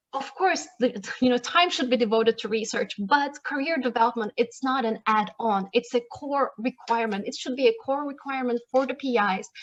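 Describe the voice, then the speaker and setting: A woman speaks at a fairly quick pace in a high voice, with hardly any pauses. The sound is dry and close with no echo, and her pitch varies in an ordinary way. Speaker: research policy analyst. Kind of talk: conference talk. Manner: fast.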